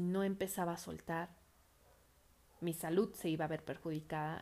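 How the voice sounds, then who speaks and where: With a dark, mellow tone, a woman speaks at a fairly slow pace. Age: 30s. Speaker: podcast host. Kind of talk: personal reflection monologue.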